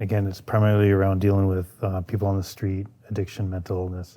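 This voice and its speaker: A man speaks at a fairly quick pace in a fairly low pitch, with a dark, mellow tone that is somewhat breathy. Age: 60s. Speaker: police sergeant. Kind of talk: podcast interview.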